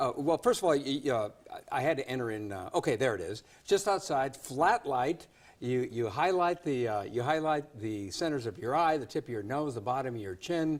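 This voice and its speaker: A man's fairly high-pitched voice, an ordinary speaking voice with lively intonation and a fairly quick pace, on a very clean recording with a silent background. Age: 60s. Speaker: news show host. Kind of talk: TV interview.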